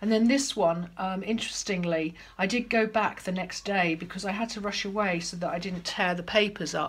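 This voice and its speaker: A woman talks at a fairly quick pace with fairly even intonation. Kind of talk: casual tutorial chat. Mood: calm, reflective. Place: home room. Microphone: phone near.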